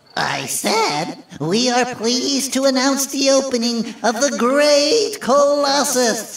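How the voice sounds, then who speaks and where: A man in a cartoonish character voice, extremely high-pitched and fairly slow, with a slight echo. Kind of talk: formal announcement.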